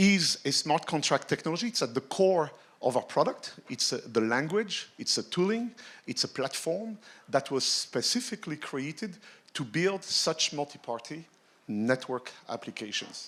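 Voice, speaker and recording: The speaker's pitch swings very widely, in a French accent. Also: man. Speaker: tech executive, conference speaker. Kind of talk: keynote talk.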